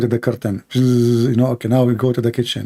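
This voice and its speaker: This man speaks with a non-native accent. His medium-pitched voice has a dark, mellow tone. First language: not English. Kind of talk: live debate commentary. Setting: live stream. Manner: animated; sarcastic.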